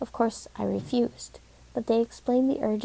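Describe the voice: This is plain reading aloud. The words are simply read off.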